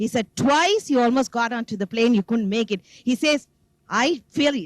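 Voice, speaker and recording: With a Tamil accent, a woman speaks at a high pitch with very wide pitch swings, in a dry, close sound with no echo. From South India. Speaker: devotee giving testimony. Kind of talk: testimony.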